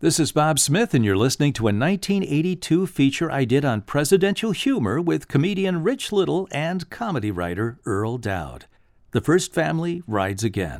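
In a very clean recording with a silent background, a man talks at a moderate pace with hardly any pauses. His fairly high voice moves through very wide pitch swings. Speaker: radio host. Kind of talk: radio intro and outro.

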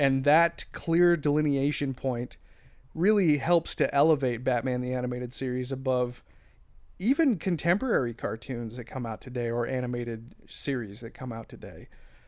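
Pitched at a medium level with ordinary variation, a man talks at a moderate pace in a plain, everyday voice. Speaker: podcaster.

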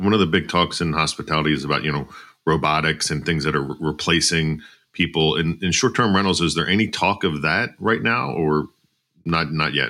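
A man speaks at a fairly quick pace in a very deep, low voice with vocal fry and a bright, sharp tone. His pitch varies in an ordinary way, and the recording is very clean with a silent background. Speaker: podcast host. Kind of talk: podcast interview.

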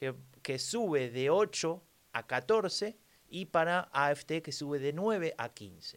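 A man in a Rioplatense accent, very slow yet lively in intonation, on a very clean recording with a silent background. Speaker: podcast co-host. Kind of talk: casual political chat.

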